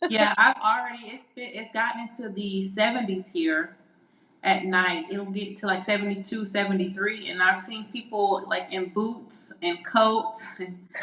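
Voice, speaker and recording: Against noticeable background noise, a woman with an American accent speaks fairly slowly at a medium pitch, her intonation fairly even but her loudness swinging widely. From US South, Alabama. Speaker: podcast co-host, real estate agent. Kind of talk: casual chat.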